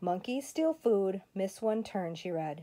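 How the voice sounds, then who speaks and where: A woman's dark, mellow, warm tone. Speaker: grandmother reading to grandchildren. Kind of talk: bedtime story reading aloud, voicing the characters' lines. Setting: home, during quarantine. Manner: animated, expressive storytelling with dramatic pacing; warm, friendly, child-directed. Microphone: phone near.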